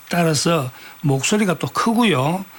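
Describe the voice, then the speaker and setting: A man with lively intonation talks fairly slowly while noticeable background noise carries on. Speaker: writer and dialect researcher. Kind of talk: radio interview answer.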